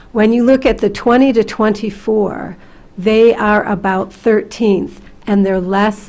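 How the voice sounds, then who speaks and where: A woman talks at a moderate pace, with noticeable background noise behind her. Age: 60s. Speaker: community college president. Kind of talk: hearing testimony.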